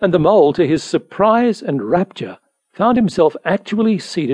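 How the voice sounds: Quiet surroundings behind a natural reading voice.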